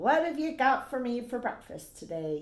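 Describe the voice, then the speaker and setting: This put-on character voice has a warm, playful tone, very wide pitch swings and a moderate pace. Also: woman, high pitch for a woman. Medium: read story.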